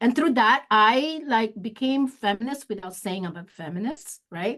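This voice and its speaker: In a Filipino accent, a woman speaks at a moderate pace with ordinary pitch variation against a quiet background. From Philippines, Olongapo City (Kapampangan). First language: Kapampangan. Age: 50s. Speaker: executive director of an advocacy organization. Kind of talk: interview. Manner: halting, frequent self-corrections and fillers.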